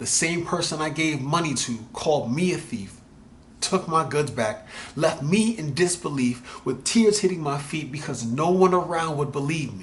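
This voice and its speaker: A man's fairly high, somewhat breathy voice with lively intonation. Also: moderate pace. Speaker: spoken word poet. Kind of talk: spoken word poetry.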